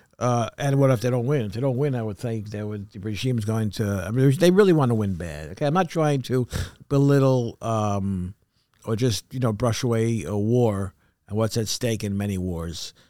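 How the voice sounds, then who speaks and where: With an American accent, a man speaks in a dark, mellow tone. His intonation is lively and his pace moderate. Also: medium pitch for a man, very clean recording, silent background. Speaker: podcast co-host. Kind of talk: casual news chat. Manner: halting.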